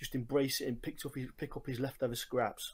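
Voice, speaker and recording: In a strong English accent, a man speaks fairly quickly at a medium pitch with flat, monotone intonation, recorded very cleanly against a silent background. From England, Nottingham. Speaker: listener sending voice message. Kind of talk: recorded voice message.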